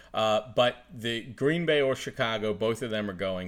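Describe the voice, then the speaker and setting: A man with an unremarkable speaking voice, fairly low pitch, ordinary pitch variation and a moderate pace, in a very clean recording with a silent background. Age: 30s. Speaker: sports podcast host. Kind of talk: casual chat.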